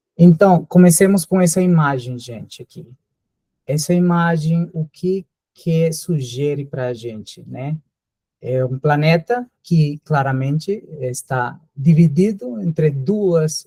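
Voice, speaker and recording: Recorded dry and close with no echo, a speaker with a Spanish accent talks at a very slow pace in a dark, mellow tone, with ordinary pitch variation and big swings in loudness. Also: man, fairly high pitch for a man. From Colombia. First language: Spanish (speaking Portuguese). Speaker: visiting professor, geneticist. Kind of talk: lecture. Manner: hesitant, many fillers.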